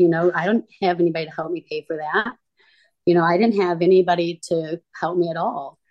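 A woman speaks in an ordinary speaking voice. Her pitch sits fairly low. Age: 30s. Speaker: recovering addict sharing her story. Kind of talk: interview testimony.

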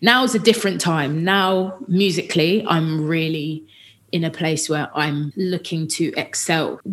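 A woman with a southern English accent speaks at a fairly slow pace. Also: fairly low pitch for a woman, ordinary pitch variation. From Watford, Hertfordshire, England. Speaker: singer. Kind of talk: casual chat.

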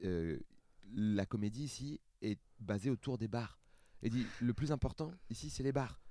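A dark, mellow tone at a fairly slow pace, broken by long, frequent pauses. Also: man, medium pitch for a man, ordinary pitch variation. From France, Seine-Saint-Denis (Paris suburbs). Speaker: stand-up comedian. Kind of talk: casual chat.

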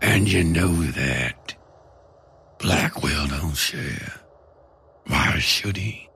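A man puts on a character voice at an extremely low pitch, bright and sharp in tone, with vocal fry. He speaks at a very slow pace with lively intonation.

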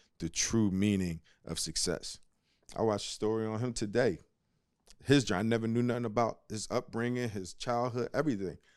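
Against a silent background in a very clean recording, a man with an American accent and a normal speaking voice talks at a fairly quick pace, his fairly low pitch showing ordinary variation. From US Northeast, Philadelphia. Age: 40s. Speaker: former basketball player and analyst. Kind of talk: casual chat.

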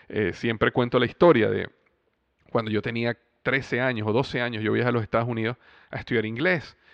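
A man's medium-pitched voice at a fairly quick pace, fairly even in intonation, broken by long, frequent pauses. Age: 30s. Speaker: podcast host and business coach. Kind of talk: motivational monologue. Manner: conversational with filler words.

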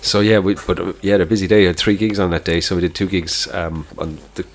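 This man talks at a very fast pace in an Irish accent, his pitch very deep and low. His intonation stays monotone and flat, with noticeable background noise behind him. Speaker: podcast co-host. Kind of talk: casual chat. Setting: pub.

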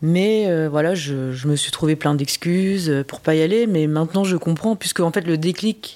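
A woman's dark, mellow voice sits at a fairly low pitch, moving at a fairly slow pace with ordinary pitch variation. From France. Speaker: interviewee sharing adoption story. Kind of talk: testimony. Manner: hesitant, many fillers.

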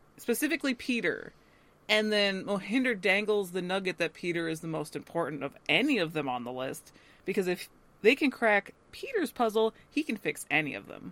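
The recording is very clean, with a silent background. A woman speaks with vocal fry and very wide pitch swings. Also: medium pitch for a woman, moderate pace. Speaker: podcast co-host. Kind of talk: casual chat.

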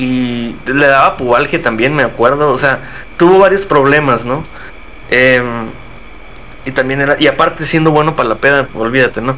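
A man with a fairly high pitch speaks with long, frequent pauses. Noticeable background noise sits behind him. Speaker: football podcast co-host. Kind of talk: casual chat. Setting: live stream.

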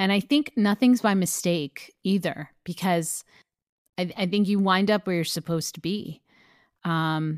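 A woman with a plain, everyday voice speaks at a fairly low pitch with ordinary pitch variation. The recording is very clean and dry, close, with no echo and a silent background. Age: 40s. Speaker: actress and comedian. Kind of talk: casual chat.

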